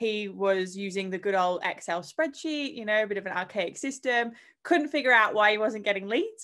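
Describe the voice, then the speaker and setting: In an Australian accent, a woman speaks at a moderate pace with a bright, sharp tone and ordinary pitch variation. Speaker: fitness software sales leader. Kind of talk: interview.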